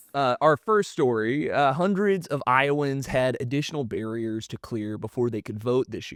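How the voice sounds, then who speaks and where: Speaking in a normal speaking voice with an American accent, a man at medium pitch and moderate pace uses lively intonation, big swings in loudness and hardly any pauses, in a dry, close sound with no echo. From US South. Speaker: podcast host. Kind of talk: casual podcast chat on news. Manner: casual, many fillers and restarts.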